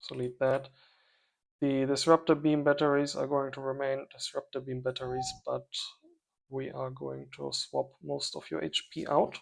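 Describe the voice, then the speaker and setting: A man with a non-native accent at a moderate pace, with big swings in loudness, on a very clean recording with a silent background. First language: not English. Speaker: strategy game let's player. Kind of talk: gameplay commentary. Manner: thinking aloud, hesitant.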